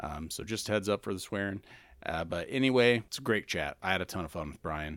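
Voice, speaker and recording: Fairly quick and lively in intonation, a man speaks in a very deep, low voice with an American accent. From Indiana. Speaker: podcast host. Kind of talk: scripted narration; casual chat.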